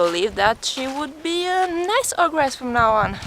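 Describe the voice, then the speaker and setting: A woman speaks with a non-native accent. She talks at a fairly slow pace. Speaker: vlogger. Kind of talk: casual vlog storytelling while walking. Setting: outdoors.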